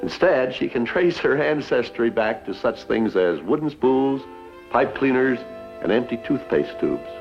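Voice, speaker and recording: A man speaks at a moderate pace with medium pitch. Music plays in the background. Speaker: TV host. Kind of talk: TV program host introduction. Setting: 1961 TV broadcast. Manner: folksy, friendly.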